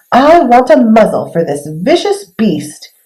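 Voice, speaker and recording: This is a put-on character voice with a fairly high pitch. It moves at a fairly slow pace with very wide pitch swings. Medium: read story.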